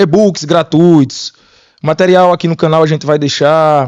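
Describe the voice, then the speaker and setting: A man speaks at a moderate pace with a northeastern Brazilian accent. The background is quiet. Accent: northeastern Brazilian (Sergipe). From Sergipe, northeastern Brazil. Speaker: podcast co-host, mining manager. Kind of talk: casual podcast chat.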